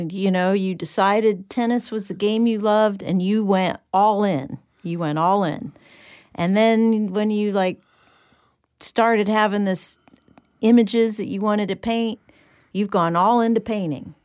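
Using a normal speaking voice, a woman of medium pitch talks at a fairly slow pace with ordinary pitch variation. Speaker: interviewer, host. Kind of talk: interview.

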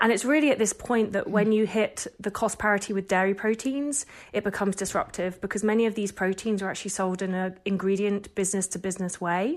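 A woman of medium pitch talks at a very fast pace with hardly any pauses and ordinary pitch variation. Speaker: think tank analyst. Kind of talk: radio interview.

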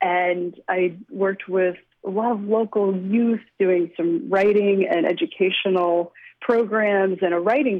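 Here is a woman with an unremarkable speaking voice at medium pitch. She talks at a fairly slow pace with ordinary pitch variation. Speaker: novelist. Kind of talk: interview.

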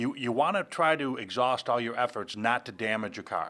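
This is an unremarkable speaking voice from a man of medium pitch. He talks at a fairly quick pace with ordinary pitch variation. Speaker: police officer. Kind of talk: interview.

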